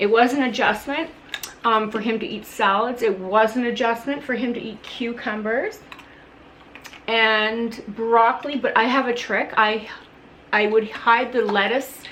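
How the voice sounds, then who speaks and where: A woman talks at a fairly slow pace with fairly high pitch. Room echo is audible. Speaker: parent vlogger. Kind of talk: casual vlog update. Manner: loud.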